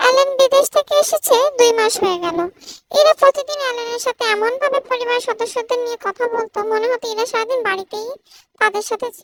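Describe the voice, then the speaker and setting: Extremely high pitch in a put-on character voice. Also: moderate pace. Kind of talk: emotional story reading. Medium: read story. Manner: calm, measured.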